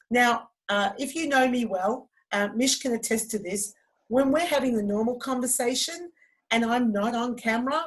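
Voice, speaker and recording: An ordinary speaking voice from a woman, fairly high in pitch with lively intonation. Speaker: fitness instructor and trainer. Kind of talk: online training presentation.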